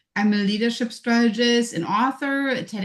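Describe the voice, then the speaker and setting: A woman is speaking. She talks with a German accent. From Germany. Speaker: leadership strategist. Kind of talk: online panel discussion.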